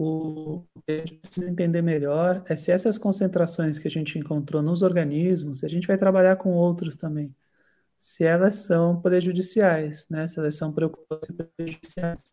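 At a moderate pace, a man with a high pitch speaks in a flat monotone with a dark, mellow tone. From Santos, São Paulo coast, Brazil. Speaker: marine biologist and researcher. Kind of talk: online lecture.

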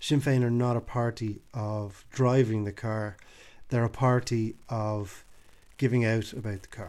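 In an Irish accent, a man speaks with fairly even intonation. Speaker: podcast host. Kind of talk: solo commentary monologue. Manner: casual, hesitant with fillers.

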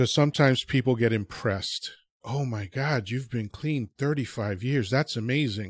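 In a very clean recording with a silent background and a dry, close sound free of echo, a man speaks at a moderate pace with medium pitch, ordinary pitch variation and a somewhat breathy voice. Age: 50s. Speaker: addiction recovery speaker. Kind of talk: interview.

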